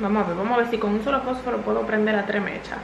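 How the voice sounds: A woman speaks very fast at a medium pitch, with vocal fry and fairly even intonation. Audible room echo surrounds her voice.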